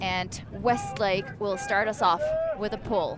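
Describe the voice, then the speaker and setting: With a non-native accent, a woman speaks at a medium pitch and a very slow pace. There is noticeable background noise. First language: not English. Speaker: sports commentator. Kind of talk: live commentary.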